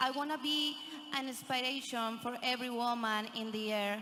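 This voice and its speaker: With noticeable background noise and audible room echo, a woman with a fairly high pitch talks fairly slowly, her intonation fairly even. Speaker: beauty pageant contestant. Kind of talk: pageant answer.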